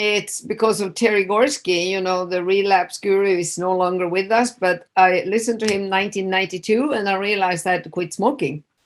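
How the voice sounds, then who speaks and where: Fairly even intonation in a Swedish accent. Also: woman. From Sweden. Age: 60s. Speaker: addiction specialist. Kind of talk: interview. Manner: casual, hesitant with fillers.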